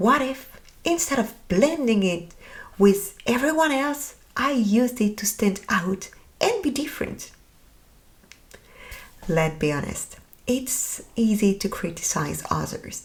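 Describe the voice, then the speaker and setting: With a French accent, a woman speaks at a very slow pace in a somewhat breathy voice, her pitch swinging very widely between long, frequent pauses. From France. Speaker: podcast host. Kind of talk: podcast monologue.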